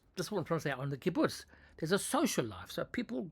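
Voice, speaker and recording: On a very clean recording with a silent background, a man speaks at a high pitch with very wide pitch swings. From South Africa. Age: 60s. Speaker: author and vlogger. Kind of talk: casual monologue. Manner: halting, many false starts.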